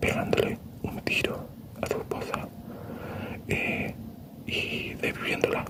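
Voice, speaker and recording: Very slowly, a whispered voice comes through noticeable background noise. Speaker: ASMR creator. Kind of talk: improvised ASMR true-crime talk.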